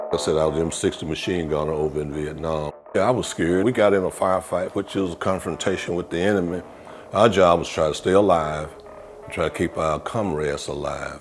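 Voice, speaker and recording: The speaker has a Mississippi accent and a fairly quick pace. The intonation stays fairly even over noticeable background noise. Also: man, very deep, low pitch for a man. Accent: Southern US, Mississippi. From US South, Mississippi (Neshoba County). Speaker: war veteran and insurance agent. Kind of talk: interview testimony.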